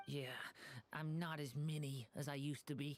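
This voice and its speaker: A put-on character voice at a low-to-middle pitch delivers its lines at a moderate pace. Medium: video game. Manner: soft-spoken, polite.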